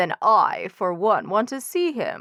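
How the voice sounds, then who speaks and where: Using a put-on character voice, a woman speaks at a fairly high pitch. Her pace is fairly slow. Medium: read story.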